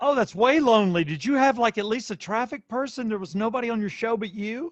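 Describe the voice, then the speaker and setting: A high-pitched man's very fast speech with a slight Southern US accent. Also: ordinary pitch variation. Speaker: radio host. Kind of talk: casual chat. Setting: home studio in basement.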